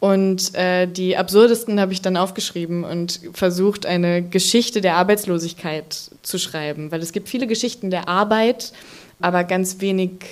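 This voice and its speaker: A woman's voice, medium in pitch, fairly even in intonation, moderate in speed. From Ruhr area, Germany. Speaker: author and journalist. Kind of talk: live stage interview. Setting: stage with audience.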